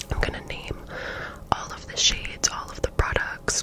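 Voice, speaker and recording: A woman is whispering. Noticeable background noise runs beneath her. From Canada. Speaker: ASMR creator. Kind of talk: ASMR makeup tutorial talking to camera. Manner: soft, relaxed.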